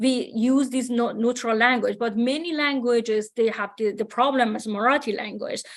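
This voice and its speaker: Fairly even intonation in a Persian accent, at a moderate pace. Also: woman, fairly high pitch for a woman. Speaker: AI researcher. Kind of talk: conference discussion. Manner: hesitant, many fillers.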